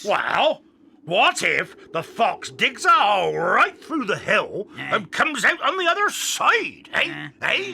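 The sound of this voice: Put-on character voice from a man, extremely high-pitched and fairly slow.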